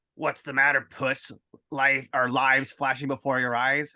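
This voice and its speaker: In a put-on character voice, a man growls with a menacing tone at a moderate pace. His medium-pitched delivery is monotone, with flat intonation. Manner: menacing, taunting.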